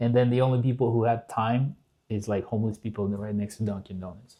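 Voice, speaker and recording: Speaking with a slight Russian accent, a man keeps a medium pitch, a dark, mellow tone, fairly even intonation, and a fairly quick pace. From southern Russia, Kalmyk. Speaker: podcast guest. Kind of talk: casual chat. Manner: halting.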